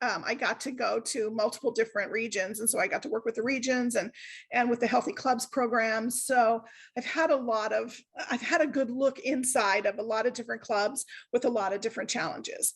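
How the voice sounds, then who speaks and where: Against a quiet background, a woman talks at a fairly quick pace in a fairly high voice with fairly even intonation. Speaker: service club member giving a talk. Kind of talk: online workshop presentation. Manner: loud; casual, chatty with many fillers.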